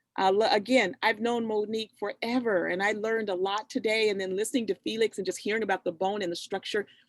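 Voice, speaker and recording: Hardly pausing at all, a woman talks at a very fast pace in a fairly high pitch, with a dry, close sound and no echo. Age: 60s. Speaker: youth program host and farm owner. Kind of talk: casual chat on video call. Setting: video call. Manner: animated.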